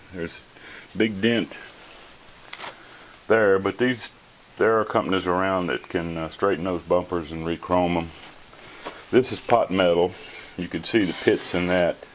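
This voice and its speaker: With noticeable background noise behind him, a man with a very deep, low pitch speaks at a moderate pace with long, frequent pauses. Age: 70s. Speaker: car restoration hobbyist. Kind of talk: casual walkthrough narration. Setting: shed. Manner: casual with filler words.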